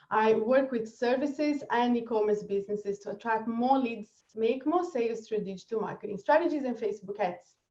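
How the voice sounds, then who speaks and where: Speaking with a Brazilian accent at a fairly quick pace, this voice has a dark, mellow tone and ordinary pitch variation. There are hardly any pauses. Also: woman, fairly high pitch for a woman. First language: Portuguese. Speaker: marketing strategist. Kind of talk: webinar presentation.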